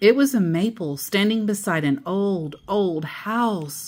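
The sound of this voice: A woman speaks at a fairly low pitch. Her intonation is lively.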